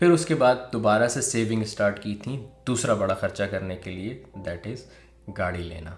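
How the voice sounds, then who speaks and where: A man talks in a somewhat breathy voice with a fairly low pitch. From Pakistan. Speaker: vlogger. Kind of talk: personal story told to camera. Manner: casual.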